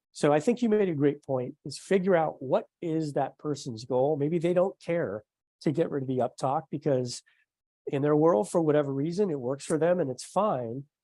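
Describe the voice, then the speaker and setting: Against a quiet background, a man speaks at a fairly high pitch with very wide pitch swings and a dark, mellow tone. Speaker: podcast host, communication skills trainer. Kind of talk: interview conversation. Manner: fast; quiet, low volume.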